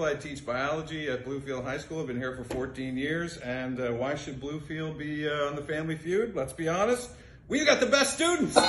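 A man speaks with a fairly high pitch and ordinary pitch variation. Noticeable background noise can be heard. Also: moderate pace. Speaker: biology teacher. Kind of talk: audition tape. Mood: fairly serious, mildly hesitant. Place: classroom. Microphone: phone near.

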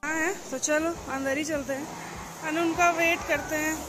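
A woman at an extremely high pitch and fairly slow pace, with noticeable background noise. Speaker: travel vlogger. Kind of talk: casual vlog chat. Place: shop. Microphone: phone near.

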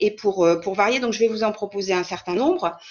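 The speaker is a woman with medium pitch. Her pitch varies in an ordinary way. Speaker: French teacher presenting a webinar. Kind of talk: online lecture for teachers. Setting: video call webinar. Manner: halting, many repetitions and fillers.

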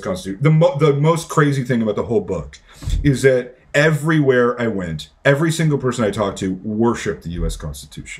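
This man's voice is somewhat breathy, and his pitch swings very widely. He talks at a fairly quick pace. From Canada. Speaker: author; podcast guest. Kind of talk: interview. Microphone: earbuds.

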